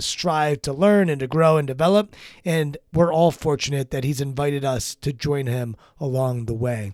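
An ordinary speaking voice from a man with an American accent, fairly high in pitch, with ordinary pitch variation at a moderate pace, on a very clean recording with a silent background. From Maryland. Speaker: podcast host and executive coach. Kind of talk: casual interview; podcast intro narration.

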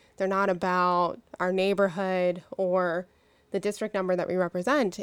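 In an American accent, a woman speaks at a medium pitch and moderate pace with monotone, flat intonation. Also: very clean recording, silent background. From Pittsburgh, Pennsylvania. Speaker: state legislator. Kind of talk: interview.

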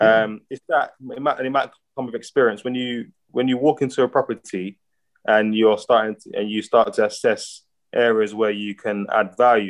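He has an ordinary speaking voice at a medium pitch. The man keeps a moderate pace and fairly even intonation. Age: 30s. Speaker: aspiring property investor. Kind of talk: consultation call.

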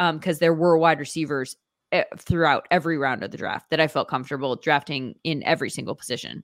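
On a very clean recording with a silent background, a woman with a plain, everyday voice and fairly low pitch talks at a fairly quick pace with ordinary pitch variation. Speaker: sports broadcaster and fantasy football guest. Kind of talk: casual banter, sports chat.

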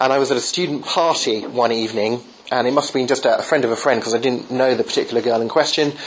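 In an English accent, a man speaks very fast at a medium pitch, with fairly even intonation, very even loudness and noticeable background noise. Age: 30s. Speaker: apologetics author. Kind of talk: interview. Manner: halting.

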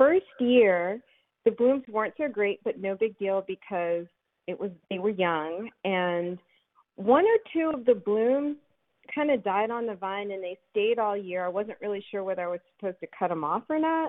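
At a moderate pace, a woman with an American accent speaks in a normal speaking voice, medium in pitch with lively intonation. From Philadelphia. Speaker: caller. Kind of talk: call-in question. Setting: phone call.

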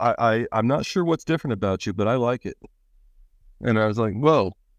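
The sound is dry and close with no echo as a man speaks in an American accent at a medium pitch with ordinary pitch variation. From Pennsylvania, US. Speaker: person in recovery. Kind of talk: casual chat. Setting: video call. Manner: halting.

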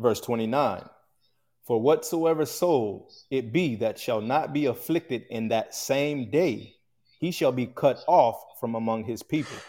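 Moving at a fairly slow pace, a man speaks with a dark, mellow tone at medium pitch. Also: ordinary pitch variation, very clean recording, silent background. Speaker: assistant teacher reading scripture. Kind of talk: reading scripture aloud.

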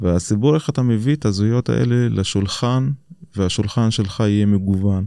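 His voice has a dark, mellow tone and a fairly low pitch for a man. The man's intonation is lively while his loudness stays very even. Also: moderate pace. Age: 30s. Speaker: education official. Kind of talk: interview. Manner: hesitant with many fillers.

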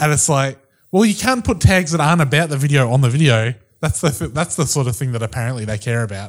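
Speaking with a New Zealand accent, a man talks at a very fast pace. His voice is fairly high and somewhat breathy. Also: lively intonation. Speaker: podcast co-host. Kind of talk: casual chat.

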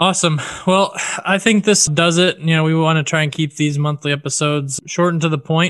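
A man's unremarkable speaking voice, fairly high in pitch, with fairly even intonation at a fairly quick pace. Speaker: podcast host. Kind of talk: casual chat. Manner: laughs often, easygoing.

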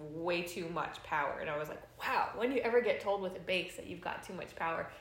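In a Californian accent, a woman speaks at a fairly low pitch. There is audible room echo and noticeable background noise. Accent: Californian American. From Los Angeles, US. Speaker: bass player. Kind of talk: casual chat. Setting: at home.

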